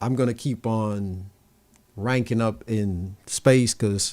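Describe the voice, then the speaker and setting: On a very clean recording with a silent background, a man with a Jamaican accent speaks at a fairly slow pace in a fairly low pitch with ordinary pitch variation. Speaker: tech youtuber. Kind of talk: live stream Q&A. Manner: casual, conversational.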